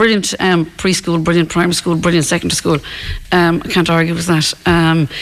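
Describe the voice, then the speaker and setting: A woman talks at a fairly quick pace with an Irish accent. Her pitch is fairly low and her intonation flat and monotone. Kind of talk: radio interview on current affairs. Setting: live outside broadcast with local audience.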